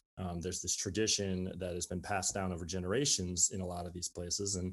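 With an American accent, a man talks at a very fast pace in a very deep, low pitch. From Minnesota, Saint Paul. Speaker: documentary filmmaker and nonprofit cinema director. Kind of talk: interview conversation. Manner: frequent fillers, halting.

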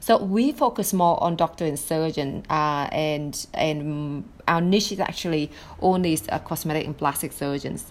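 A woman with a Vietnamese accent and a very deep, low pitch speaks at a fairly slow pace with ordinary pitch variation. She leaves hardly any pauses on a very clean recording with a silent background. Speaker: marketing agency founder. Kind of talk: interview.

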